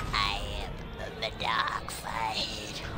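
Someone uses a put-on character voice over loud background noise. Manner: menacing.

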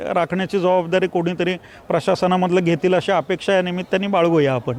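A man speaks at a high pitch. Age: 50s. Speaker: tasha drummer. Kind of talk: news interview.

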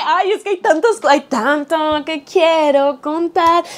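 A woman speaks at a moderate pace with noticeable background noise in the recording. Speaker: YouTuber. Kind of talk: casual chat. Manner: animated.

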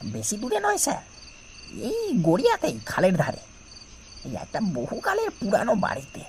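A man puts on a character voice at a fairly slow pace. Background noise is clearly heard. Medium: audio drama. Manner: deferential, calm, unexcited.

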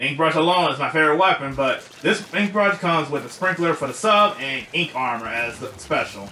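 A man talks fairly quickly at a fairly high pitch, with noticeable background noise behind him. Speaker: gaming YouTuber. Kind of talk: casual talk to viewers.

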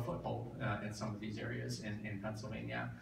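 A man talks at a fairly quick pace in a fairly low pitch. Audible room echo and light background noise surround him. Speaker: guest. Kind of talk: talk to a meeting. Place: meeting room.

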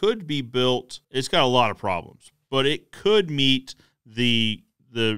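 A man talks very slowly in front of a quiet background. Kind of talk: commentary. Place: home room. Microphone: studio mic.

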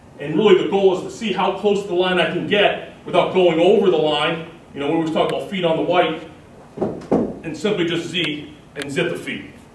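In an American accent, a high-pitched man speaks with fairly even intonation. Audible room echo and light background noise are present. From Massachusetts. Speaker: college football coach. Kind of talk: coaching clinic lecture. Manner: fast. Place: meeting room. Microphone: camera far.

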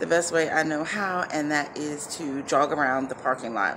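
A woman speaks at a very deep, low pitch with ordinary pitch variation. Noticeable background noise is present. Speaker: vlogger. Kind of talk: casual vlog chat. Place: street. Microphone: phone near.

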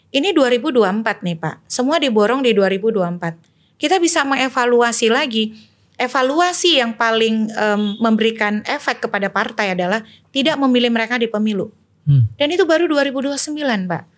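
At a moderate pace, a woman talks with fairly high pitch and lively intonation against a quiet background. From Indonesia, Banten; Indonesia. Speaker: election and democracy activist; election guest. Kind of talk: political discussion. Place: studio. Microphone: studio mic.

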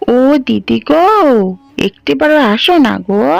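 A woman uses a cartoonish character voice at a fairly high pitch and a moderate pace. Faint music plays in the background. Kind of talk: folk ghost tale. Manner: coaxing, greedy.

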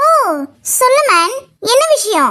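A woman puts on a cartoonish character voice with lively intonation. It is squeaky and pitched extremely high. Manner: breezy, showy, sprinkles English words.

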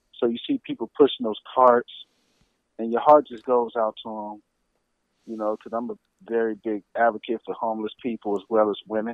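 This man talks at a moderate pace in a medium pitch. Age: 50s. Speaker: retired army veteran and author. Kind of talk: interview.

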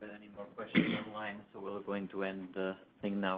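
A man's put-on character voice, fairly low and mumbling at a moderate pace, monotone and flat, with big swings in loudness over clear background noise

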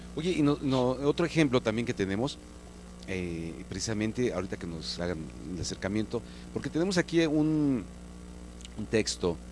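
A man with a fairly low pitch speaks at a moderate pace, leaving long, frequent pauses as his pitch swings very widely. The sound is dry with no echo, over light background noise. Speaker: TV show host. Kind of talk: TV host interviewing a guest. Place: studio. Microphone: handheld.

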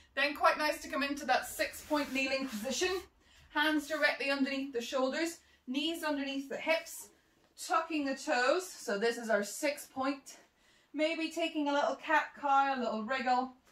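In a room with audible echo, a woman speaks at a high pitch and moderate pace, her pitch varying in an ordinary way. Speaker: movement instructor. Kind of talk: exercise class instruction. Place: home room. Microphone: camera far.

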